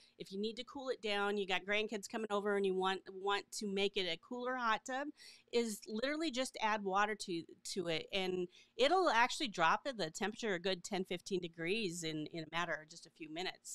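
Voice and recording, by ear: At a moderate pace, a woman talks at a medium pitch with ordinary pitch variation and a fairly bright tone, in a dry, close sound with no echo.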